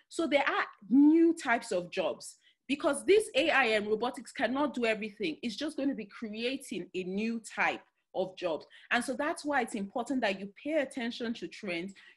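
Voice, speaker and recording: A woman with a Nigerian accent speaks at a moderate pace in a high pitch. Her intonation is lively, and the background is quiet. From Nigeria, Delta State. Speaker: career and future-of-work speaker. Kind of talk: talk in an online webinar. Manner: halting, with many fillers.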